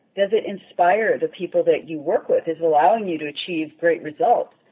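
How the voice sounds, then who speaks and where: A woman talks at a moderate pace. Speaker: corporate executive. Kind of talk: interview. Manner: calm, confident.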